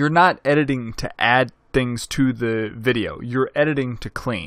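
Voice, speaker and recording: An American accent comes through with fairly even intonation in a very clean recording with a silent background. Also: man. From Arkansas, US South. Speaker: video production instructor. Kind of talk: tutorial. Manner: casual, conversational with many fillers.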